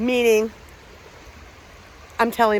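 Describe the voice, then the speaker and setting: Noticeable background noise runs behind a woman with a Philadelphia accent. Her pitch is fairly high. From Pennsylvania, Philadelphia area. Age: 50s. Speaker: paranormal investigator and vlogger. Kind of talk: casual vlog storytelling. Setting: outdoors on a hiking trail. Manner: loud.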